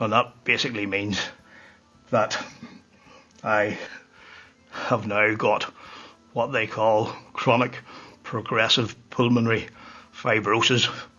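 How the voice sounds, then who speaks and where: Over background music, a man speaks at medium pitch in a monotone, flat delivery, very slowly and with long, frequent pauses. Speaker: whiskey reviewer. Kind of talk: casual monologue.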